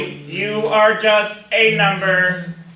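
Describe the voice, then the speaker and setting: A man uses a put-on character voice pitched high, with a slight echo in the sound. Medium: stage play. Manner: flat, robotic.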